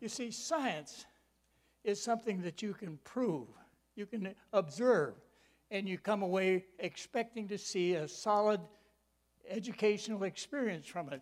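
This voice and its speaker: Speaking with an American accent, this voice moves at a fairly slow pace with long, frequent pauses and ordinary pitch variation. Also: man, high pitch for a man. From Michigan, US Midwest. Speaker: preacher. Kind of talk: sermon. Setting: church with audience.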